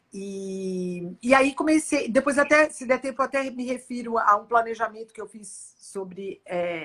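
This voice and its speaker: This woman has an ordinary speaking voice with a fairly high pitch. She speaks at a fairly slow pace with lively intonation. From Brazil. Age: 60s. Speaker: futurist speaker. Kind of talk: interview.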